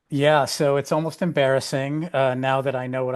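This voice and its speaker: Over a quiet background, a man with an American accent speaks at a moderate pace, with medium pitch and fairly even intonation. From upstate New York (Amsterdam, NY). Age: 60s. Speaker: editor and memoir author. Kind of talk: podcast interview.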